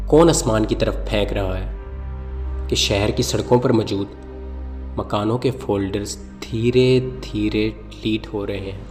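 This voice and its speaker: A man with a very deep, low pitch makes very wide pitch swings over music in the background. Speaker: solo performer. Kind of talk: dramatic poetry reading. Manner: sarcastic, comic.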